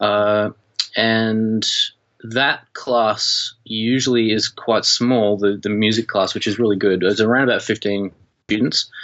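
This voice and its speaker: In an Australian accent, a man talks at a very slow pace with a fairly low pitch. His intonation is monotone and flat, and his loudness stays very even. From Australia (rural Victoria, Shepparton). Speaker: media and music teacher, documentary filmmaker. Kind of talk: casual interview chat.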